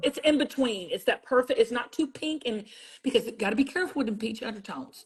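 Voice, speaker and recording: With a Southern US accent, a woman talks at a very fast pace in a high, animated voice with ordinary pitch variation. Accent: Southern US, sounds country. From South Carolina. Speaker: TV beauty brand founder. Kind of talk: livestream product demo chat.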